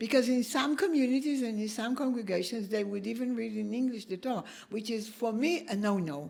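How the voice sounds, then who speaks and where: A woman with an Israeli accent speaks at a fairly quick pace, her fairly high voice carrying lively intonation. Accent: Israeli Hebrew accent in English. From Israel (kibbutz). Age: 70s. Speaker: professor. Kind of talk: interview conversation.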